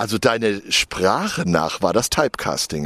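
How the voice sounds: A man speaks with big pitch swings and a fairly bright tone.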